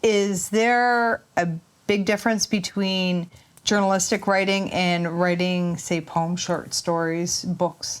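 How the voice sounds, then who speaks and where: Very slow speech from a woman with a Canadian accent, medium pitch, fairly even intonation and very even loudness, on a very clean recording with a silent background. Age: 50s. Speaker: podcast host. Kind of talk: interview.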